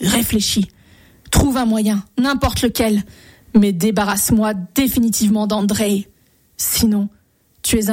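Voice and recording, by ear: Intonation is fairly even as this reading aloud in a natural voice goes on.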